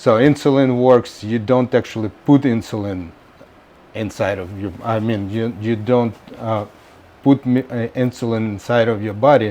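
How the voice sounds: Speaking at a moderate pace, a man uses a fairly low pitch, a dark, mellow tone and fairly even intonation.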